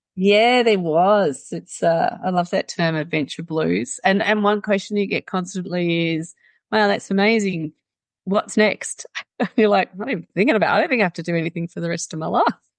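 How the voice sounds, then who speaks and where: A woman speaks with an Australian accent. Her medium pitch moves along at a fairly quick pace. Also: ordinary pitch variation. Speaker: mountaineer and activist. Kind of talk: interview.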